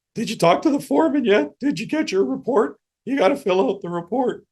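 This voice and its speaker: A man uses a put-on character voice pitched high. He talks at a fairly quick pace. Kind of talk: casual, workplace talk. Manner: goofy.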